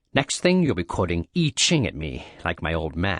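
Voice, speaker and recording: Growling in a put-on character voice, a man speaks with a very deep, low pitch at a moderate pace. The sound is dry and close with no echo. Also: quiet background. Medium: read story. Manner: cold, blunt.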